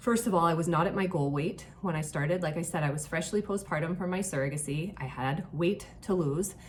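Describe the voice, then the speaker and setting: A woman talks at a fairly quick pace with lively intonation. Room echo is audible. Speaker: online fitness coach. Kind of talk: casual talk to camera. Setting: hotel room.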